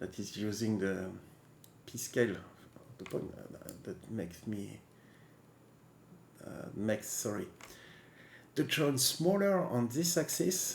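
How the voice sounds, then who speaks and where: Very slow speech in a non-native accent with long, frequent pauses. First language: not English. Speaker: 3D software tutorial maker. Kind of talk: software tutorial. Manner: halting, with many fillers and restarts.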